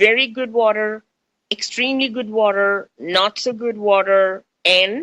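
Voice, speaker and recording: A woman's bright, sharp, fairly high voice in an American accent, fairly slow, with a dry, close sound and no echo. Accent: Indian accent shifting toward American. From India. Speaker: radio host. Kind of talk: radio talk, spiritual chat. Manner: animated.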